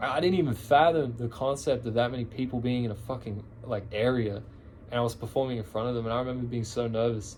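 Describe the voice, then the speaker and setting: A very fast man with an Australian accent, medium in pitch, with fairly even intonation. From Australia, Canberra. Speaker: musician vlogger. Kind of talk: casual chat. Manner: casual, filler-heavy rambling.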